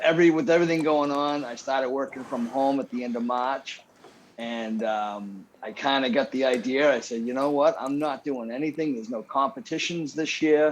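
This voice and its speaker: With a New England accent, a man talks at a moderate pace in a fairly high pitch. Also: ordinary pitch variation. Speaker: cookbook author and barbecue competitor. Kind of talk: casual chat. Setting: studio with live audience.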